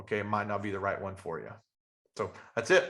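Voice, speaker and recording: With an Appalachian accent, a man speaks in a bright, sharp tone. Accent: Southern US (Appalachian). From Western North Carolina. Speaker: real estate investor and trainer. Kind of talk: webinar training talk. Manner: fast.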